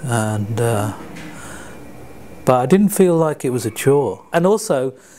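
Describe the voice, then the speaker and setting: A man with a London accent speaks at a medium pitch with very wide pitch swings. Background noise is noticeable. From England, London. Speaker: community volunteer. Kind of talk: interview. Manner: halting.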